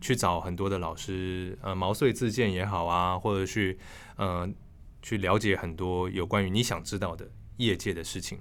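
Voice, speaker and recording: A man speaks with a very deep, low pitch. His pace is moderate and his intonation fairly even. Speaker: voice actor, former news anchor. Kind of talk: casual interview. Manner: crisp, precise newsreader articulation.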